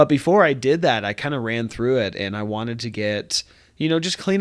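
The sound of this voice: On a very clean recording with a silent background, a man speaks at a moderate pace in a medium pitch, his fairly bright tone showing ordinary pitch variation.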